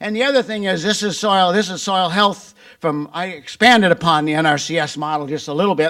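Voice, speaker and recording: His voice is high-pitched, bright and sharp, with an Upper Midwest US accent. The man moves at a fairly quick pace with ordinary pitch variation. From Wisconsin. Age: 70s. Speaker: farmer and agricultural business founder. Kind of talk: conference presentation. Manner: conversational.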